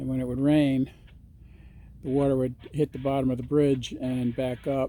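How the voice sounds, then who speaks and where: Speaking at a moderate pace, a man has a dark, mellow tone. His intonation stays flat and monotone. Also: medium pitch for a man. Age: 60s. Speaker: amateur rail and river videographer. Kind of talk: casual vlog narration. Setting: outdoors by the river. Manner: hesitant, many fillers.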